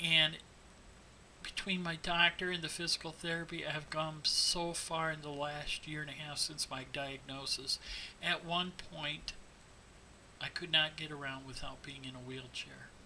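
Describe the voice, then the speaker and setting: Over noticeable background noise, a man with fairly high pitch speaks at a moderate pace in a monotone, flat intonation. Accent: American. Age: 50s. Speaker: teacher with Parkinson's disease. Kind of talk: personal testimony.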